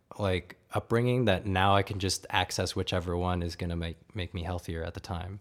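A man with a plain, everyday voice at a fairly low pitch and moderate pace, fairly even intonation, on a very clean recording with a silent background. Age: 20s. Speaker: music producer. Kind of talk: casual chat.

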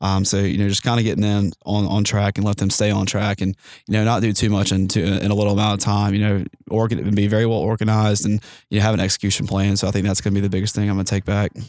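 Very fast, monotone speech from a man with a Southern US accent, fairly low in pitch and very even in loudness, on a very clean recording with a silent background. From US South, Mississippi Gulf Coast. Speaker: fraternity chapter member. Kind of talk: interview. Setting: mobile studio at a conference.

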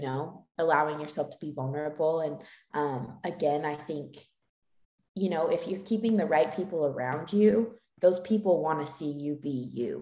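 A woman's very deep, low voice with a dark, mellow tone, an American accent, a moderate pace and ordinary pitch variation. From Utah. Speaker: dancer. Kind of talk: casual chat.

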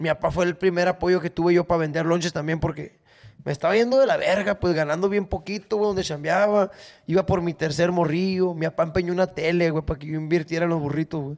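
A man with a high pitch talks at a very fast pace. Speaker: podcast host, comedian. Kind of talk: casual chat. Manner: animated.

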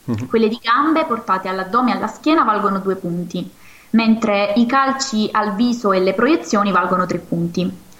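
A woman speaks at a medium pitch and a moderate pace with ordinary pitch variation over noticeable background noise. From Marcianise, Campania. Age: 20s. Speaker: karate athlete. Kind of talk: interview.

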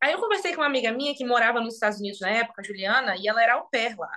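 A woman's raised, projected voice, bright and sharp in tone, with lively intonation. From Brazil, Magé (Rio de Janeiro state). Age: 20s. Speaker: actress. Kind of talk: casual interview. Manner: animated.

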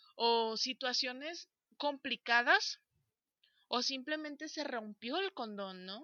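A woman with a Mexican accent speaks at a very slow pace in a high pitch. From Mexico. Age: 20s. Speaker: podcast co-host. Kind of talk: casual chat.

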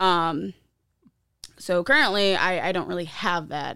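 In an American accent, a woman talks at a fairly slow pace. Her pitch is fairly low, with ordinary pitch variation. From Ohio, US Midwest. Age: 20s. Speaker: guest sharing recovery story. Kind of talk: testimony.

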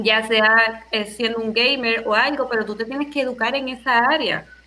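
With noticeable background noise, a woman speaks at a moderate pace in a fairly high pitch and fairly even intonation. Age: 30s. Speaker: teacher and doctoral student. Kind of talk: casual panel discussion. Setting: Skype call.

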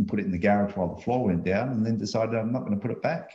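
This man has a dark, mellow tone and a fairly low pitch. He speaks with an Australian accent. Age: 60s. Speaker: remote work business owner. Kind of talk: casual chat.

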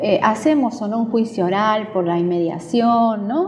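A woman talks over noticeable background noise. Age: 40s. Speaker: judge. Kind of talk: interview.

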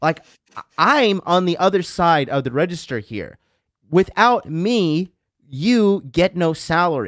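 A man speaks in a high pitch. The sound is dry and close with no echo, on a very clean recording with a silent background. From US, Florida. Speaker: podcast guest. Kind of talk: casual chat. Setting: home studio with mixer.

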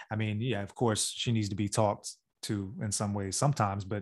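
Man's voice at a medium pitch, moderate pace, quiet background. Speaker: podcast co-host. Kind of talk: casual chat. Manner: soft-spoken.

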